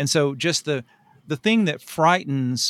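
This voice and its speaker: Recorded very cleanly over a silent background, a man with an American accent speaks with a dry, close sound and no echo. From rural Tennessee, US South. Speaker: writer and anthology editor. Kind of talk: casual interview.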